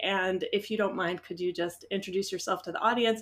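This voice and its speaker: A woman with an American accent at a fairly quick pace, with lively intonation. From US Midwest, Iowa. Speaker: veterinarian and podcast host. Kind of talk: podcast conversation. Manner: casual, many fillers.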